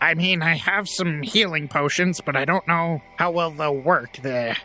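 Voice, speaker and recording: A man puts on a high-pitched character voice at a moderate pace, with ordinary pitch variation and music playing in the background. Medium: actual play. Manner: hedging, practical.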